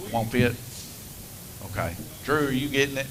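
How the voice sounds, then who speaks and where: Noticeable background noise fills the recording. The talking goes at a moderate pace. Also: man. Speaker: slot car race commentator and track operator. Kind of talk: live stream commentary.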